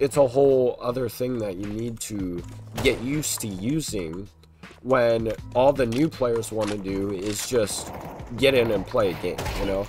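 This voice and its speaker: With music in the background, the speech moves at a fairly slow pace. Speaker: gamer. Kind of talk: casual commentary over gameplay.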